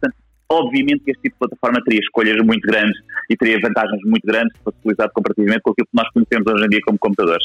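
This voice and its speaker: Keeping his loudness very even, a man talks at a very fast pace. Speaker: software technologist. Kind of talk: casual discussion. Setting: live audio social room, recorded.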